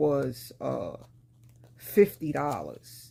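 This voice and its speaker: In a New York accent, a woman speaks with a very deep, low pitch. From New York, Brooklyn. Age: 50s. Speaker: lifestyle vlogger. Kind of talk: casual haul vlog. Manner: casual, conversational.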